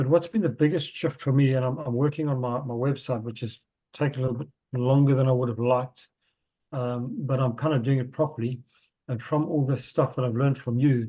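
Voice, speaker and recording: The voice is somewhat breathy, moving at a fairly quick pace with fairly even intonation. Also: man. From South Africa. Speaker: spiritual healer. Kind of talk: casual chat.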